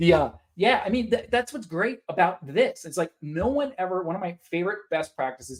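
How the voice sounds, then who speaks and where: A man speaks in an American accent at a fairly quick pace. His intonation is lively. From Pittsburgh, western Pennsylvania, US. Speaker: conference speaker, nonprofit tech consultant. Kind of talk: webinar presentation. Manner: fast.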